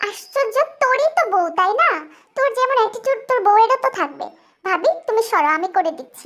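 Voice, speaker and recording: A woman's put-on character voice, extremely high in pitch, with very wide pitch swings. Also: moderate pace. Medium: read story. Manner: warm, casual, addresses her as sister-in-law.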